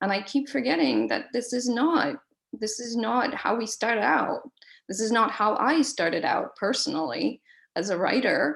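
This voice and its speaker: A woman with a non-native accent speaks at a moderate pace, her pitch fairly high and her intonation lively. Vocal fry runs through her voice. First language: not English. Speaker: professor. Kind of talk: panel moderation. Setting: online webinar. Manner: hesitant, many fillers.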